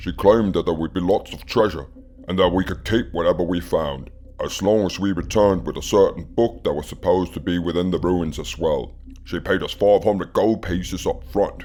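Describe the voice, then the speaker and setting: Using a put-on character voice, a man speaks at a very deep, low pitch. He moves at a fairly quick pace over light background noise. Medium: audio drama. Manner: gruff, storytelling.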